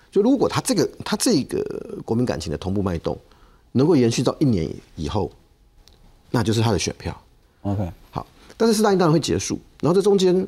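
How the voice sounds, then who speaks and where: Against a quiet background, a man speaks at a fairly quick pace in a dark, mellow tone with fairly high pitch, very wide pitch swings and vocal fry. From Taiwan, Taichung; Taiwan. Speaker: political commentator. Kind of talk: TV panel discussion. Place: studio. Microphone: lapel.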